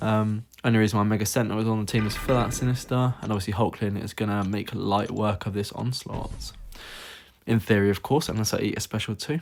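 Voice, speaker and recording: On a very clean recording with a silent background, a man speaks very fast at a fairly low pitch, his intonation fairly even. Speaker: mobile game commentator. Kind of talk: gameplay commentary. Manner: casual, filler-heavy.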